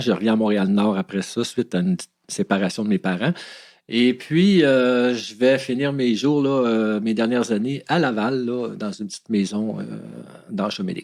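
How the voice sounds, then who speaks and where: Speaking in a normal speaking voice, a man uses a medium pitch, lively intonation and a moderate pace. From Quebec, Montreal. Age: 60s. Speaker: former criminal. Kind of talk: interview testimony.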